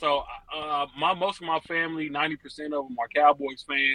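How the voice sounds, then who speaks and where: At a moderate pace, a man with an unremarkable speaking voice and a fairly high pitch talks with ordinary pitch variation. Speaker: caller. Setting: phone call.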